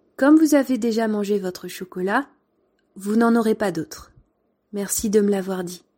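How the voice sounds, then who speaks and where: In a very clean recording with a silent background, a woman with a medium pitch and a dark, mellow tone speaks at a moderate pace with ordinary pitch variation and long, frequent pauses. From France. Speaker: former primary school teacher, podcaster. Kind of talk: storytelling narration.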